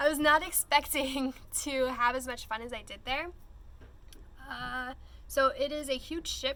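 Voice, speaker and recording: A woman speaks in a high, raised and projected voice with a bright, sharp tone and fairly even intonation. Her loudness swings widely, and she moves at a fairly slow pace with long, frequent pauses. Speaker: travel vlogger. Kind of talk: casual chat. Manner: rambling, hesitant with fillers.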